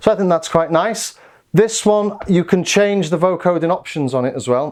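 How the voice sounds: At a moderate pace, a man talks in a slightly mellow tone.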